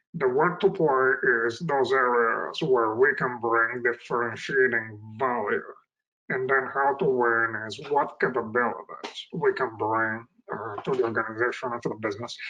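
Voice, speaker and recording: The man's medium pitch shifts in an ordinary way as he talks at a moderate pace. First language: not English (English is his third language). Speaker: IT executive. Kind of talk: interview. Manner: hesitant, many fillers.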